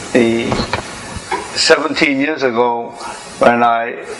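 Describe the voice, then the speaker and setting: Fairly slow speech with ordinary pitch movement, audible room echo and noticeable background noise. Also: man. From Korea. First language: Korean. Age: 70s. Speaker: engineer and inventor. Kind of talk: public talk.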